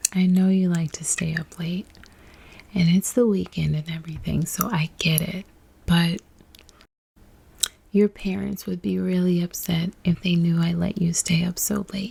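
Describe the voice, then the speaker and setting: A woman speaks in a gentle, dark, mellow, somewhat breathy tone at fairly low pitch, fairly slow and with fairly even intonation, leaving long, frequent pauses. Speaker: babysitter role-play ASMR performer. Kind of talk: ASMR role-play storybook reading. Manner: soft-spoken, gentle.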